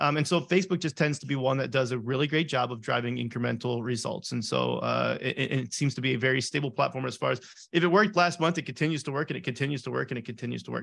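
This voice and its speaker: A man talks at a very fast pace with hardly any pauses. His voice has vocal fry. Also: medium pitch for a man, ordinary pitch variation. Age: 30s. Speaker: e-commerce ad agency founder. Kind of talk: interview.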